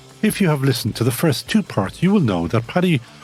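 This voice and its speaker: With music in the background, a man speaks in very wide pitch swings. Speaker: podcast host. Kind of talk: podcast introduction and interview.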